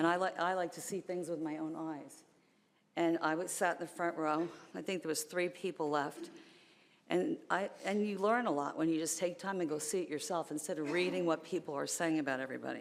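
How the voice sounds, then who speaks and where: The speaker has an American accent. The intonation stays fairly even. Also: woman, fairly low pitch for a woman. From northern US. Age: 60s. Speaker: public commenter. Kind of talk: public comment at meeting. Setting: county commission chambers. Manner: fast; loud.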